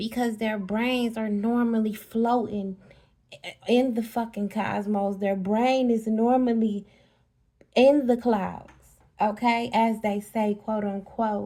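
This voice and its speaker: Somewhat breathy and dark, mellow in tone, a woman with a fairly high pitch speaks very slowly in a flat, monotone way. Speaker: spiritual reader. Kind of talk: casual spiritual talk to camera.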